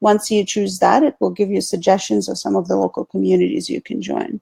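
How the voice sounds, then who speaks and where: A woman with a Russian accent talks at a moderate pace in a dry, close sound with no echo. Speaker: marketing consultant. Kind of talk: video call interview.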